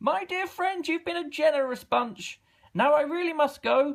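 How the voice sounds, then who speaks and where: A man puts on a character voice with extremely high pitch, talking at a moderate pace. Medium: read story. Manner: showy, cheerful.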